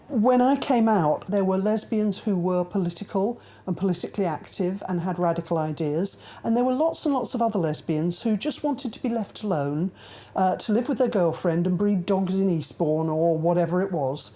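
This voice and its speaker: Her dark, mellow voice sits at a medium pitch, and this woman uses lively intonation at a moderate pace in a very clean recording with a silent background. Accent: British. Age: 60s. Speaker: activist. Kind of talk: documentary interview.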